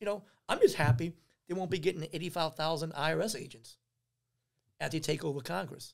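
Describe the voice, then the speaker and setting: Very fast yet broken by long, frequent pauses, a man's fairly high voice carries an animated tone and ordinary pitch variation. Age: 50s. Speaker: youth basketball trainer. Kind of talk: casual chat.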